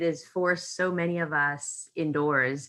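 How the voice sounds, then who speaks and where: A woman with a Canadian accent speaks in a normal speaking voice, pitched fairly low with ordinary variation. The background is quiet. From Canada, Toronto. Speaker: corporate communications professional, panelist. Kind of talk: panel discussion.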